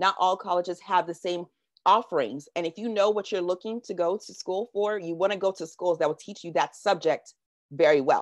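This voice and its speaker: Recorded with a dry, close sound and no echo, a woman with an American accent talks at a fairly quick pace in an animated tone with ordinary pitch variation. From Washington DC, US. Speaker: workshop presenter. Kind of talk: presentation. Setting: video call. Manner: fast.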